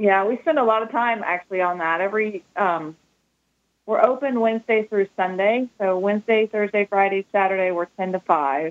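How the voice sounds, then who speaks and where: In a dry, close sound with no echo, a woman speaks at a moderate pace with an ordinary speaking voice, medium pitch and ordinary pitch variation. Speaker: shop owner. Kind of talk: casual interview.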